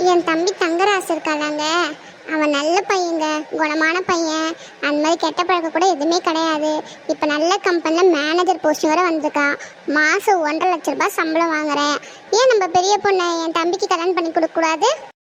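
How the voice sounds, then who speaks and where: In a cartoonish character voice, a woman speaks at an extremely high pitch and a moderate pace, her loudness very even and her intonation fairly even, with clear background noise behind her. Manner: scolding, insistent.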